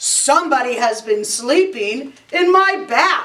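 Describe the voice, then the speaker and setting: A loud, growling put-on character voice from a woman, high-pitched with very wide pitch swings, at a fairly slow pace. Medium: read story. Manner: loud, indignant.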